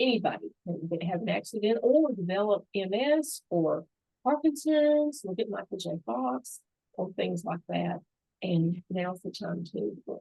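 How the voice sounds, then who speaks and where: A woman with a Southern US accent speaks at medium pitch and a fairly slow pace. Her pitch swings very widely. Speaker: long-term care insurance expert. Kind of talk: interview. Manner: animated.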